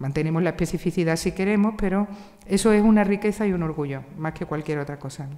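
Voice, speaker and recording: This woman talks at a very fast pace. Her pitch is fairly low, with ordinary variation. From Andalusia, Spain (Seville). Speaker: literature professor. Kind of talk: panel discussion.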